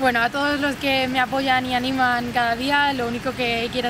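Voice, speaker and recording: Against noticeable background noise, a woman speaks at a moderate pace in a high pitch, the sound dry with no echo. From Spain. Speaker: triathlete. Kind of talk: interview monologue. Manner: halting, frequent word repetitions. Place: garden.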